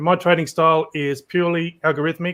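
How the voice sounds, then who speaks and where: A man is speaking. He has an Australian accent. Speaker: trading podcast host. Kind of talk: panel show introduction.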